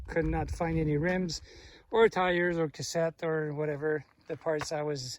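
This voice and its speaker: Speaking fairly slowly with a French Canadian accent, a man keeps his fairly high pitch on fairly even intonation. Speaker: mountain biking vlogger. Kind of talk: casual vlog narration while riding. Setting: outdoors on mountain trail. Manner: halting, many fillers.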